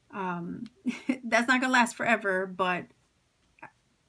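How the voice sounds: Speaking at a fairly slow pace, a woman uses a medium pitch with ordinary variation and a bright, sharp tone.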